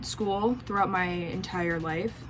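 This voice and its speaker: A woman with an American accent at a fairly slow pace, ordinary pitch variation, noticeable background noise, and audible room echo. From US Midwest, Racine, Wisconsin. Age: 20s. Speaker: vlogger. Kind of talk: casual vlog chat.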